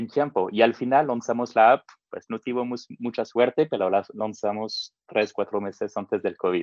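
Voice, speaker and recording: Speaking fairly slowly, a man uses a medium pitch that varies in a normal way. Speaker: tech entrepreneur, no-code expert. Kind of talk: interview. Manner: hesitant, with many fillers.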